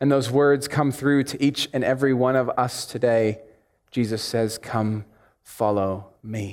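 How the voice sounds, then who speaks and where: At a fairly slow pace, a man with an American accent speaks at a medium pitch with fairly even intonation. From United States. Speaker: preacher. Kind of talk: sermon. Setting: church.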